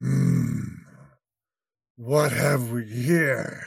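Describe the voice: In a put-on character voice, a man growls at a medium pitch.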